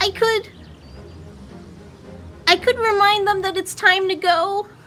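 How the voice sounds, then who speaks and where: At a fairly slow pace, a put-on character voice speaks with an extremely high pitch. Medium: actual play.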